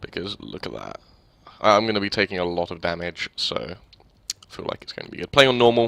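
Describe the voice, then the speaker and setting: Quiet and fairly low-pitched, a man talks at a fairly quick pace with ordinary pitch variation. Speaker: gaming let's play commentator. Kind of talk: gameplay commentary. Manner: not loud or energetic; quiet during battles.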